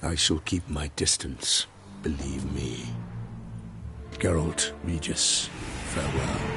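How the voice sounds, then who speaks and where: A man's put-on character voice at a fairly slow pace, with long, frequent pauses and clear background noise. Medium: video game. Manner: measured, formal, grave.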